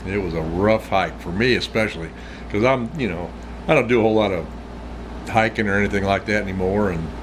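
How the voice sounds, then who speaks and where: Very fast but broken by long, frequent pauses, a man with an American accent speaks with lively intonation over noticeable background noise. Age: 60s. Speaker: outdoors vlogger. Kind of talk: casual chat. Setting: smoking a pipe while talking. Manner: rambling conversational, frequent repetitions.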